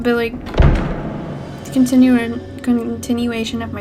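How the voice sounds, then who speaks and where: A woman talks over noticeable background noise. Room echo is audible. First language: not English. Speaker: gaming YouTuber. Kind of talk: let's play commentary. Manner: hesitant, many fillers.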